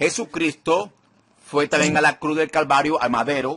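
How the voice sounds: A man's fairly high voice, fairly bright in tone with a slightly husky edge, ordinary pitch variation and a moderate pace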